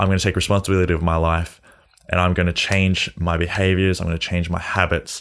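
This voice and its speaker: The recording is very clean with a silent background. A man talks at a fairly quick pace in a very deep, low pitch and monotone, flat intonation. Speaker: podcast host and clothing designer. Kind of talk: casual monologue. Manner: fast; halting, stumbling on words.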